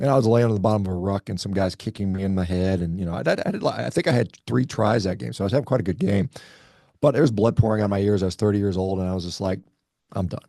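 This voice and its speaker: A man's fairly low, dark, mellow voice at a very fast pace, ordinary pitch variation, dry, close sound with no echo. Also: quiet background. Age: 50s. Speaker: orthopaedic surgeon and athlete. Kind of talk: podcast interview. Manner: halting with many restarts.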